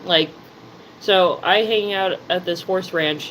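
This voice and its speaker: Over noticeable background noise, a woman with a New Jersey accent speaks at a fairly low pitch and a fairly slow pace in a monotone, flat intonation. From New Jersey, US. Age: 30s. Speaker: live streamer. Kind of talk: casual live stream chat.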